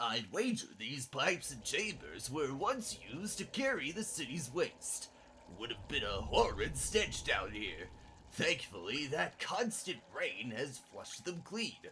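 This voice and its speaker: Clear background noise sits behind a man doing a put-on character voice. He speaks at a fairly slow pace and a high pitch. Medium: game stream. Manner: refined, fussy, delighted.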